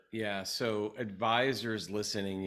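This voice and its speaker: A man at a very slow pace on a very clean recording with a silent background. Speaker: podcast host, financial advisor. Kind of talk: interview conversation. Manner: excited.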